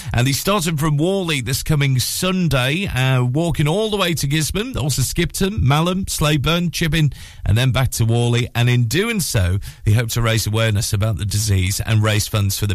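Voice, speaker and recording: Speaking at a moderate pace in a medium pitch, a man sounds animated and warm and somewhat breathy, his pitch swinging very widely while his loudness stays very even. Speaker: radio breakfast show host. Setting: radio studio, live broadcast. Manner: animated, chatty, warm, with frequent 'uh' fillers.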